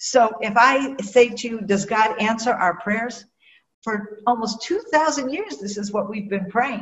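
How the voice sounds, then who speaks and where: Speaking fairly slowly in an American accent, a woman with a fairly high pitch sounds somewhat breathy, her loudness swinging widely while her pitch varies in an ordinary way. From US Midwest, Cleveland, Ohio. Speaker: Bible teacher, nonprofit director. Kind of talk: interview.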